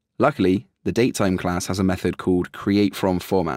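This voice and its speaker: An ordinary speaking voice moves along at a moderate pace. The sound is dry and close with no echo, in a very clean recording with a silent background. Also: man. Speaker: programming instructor. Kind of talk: tutorial.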